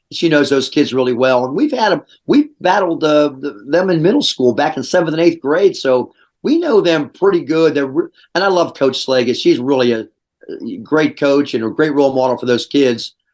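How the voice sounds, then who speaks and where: An animated man with an American accent speaks at a moderate pace with a fairly high pitch. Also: ordinary pitch variation. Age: 60s. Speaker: high school basketball coach. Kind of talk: interview. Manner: halting, many restarts and fillers.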